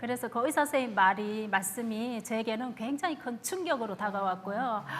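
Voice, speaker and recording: A woman speaks at a moderate pace with a Gyeongsang accent. Her pitch is fairly high. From Gyeongsang Province, Korea. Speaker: church deaconess sharing testimony. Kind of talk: testimony.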